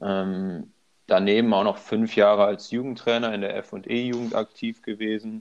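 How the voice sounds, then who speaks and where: At a moderate pace, a man speaks in a fairly low, monotone voice with flat intonation. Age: 20s. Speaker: handball player and student. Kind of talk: casual interview. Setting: remote call.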